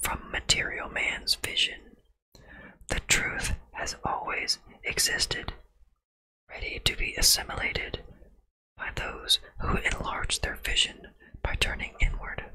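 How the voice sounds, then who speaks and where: A man whispering at a very slow pace in a calm tone. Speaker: ASMR content creator. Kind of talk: ASMR book reading. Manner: whispered, soft, calm.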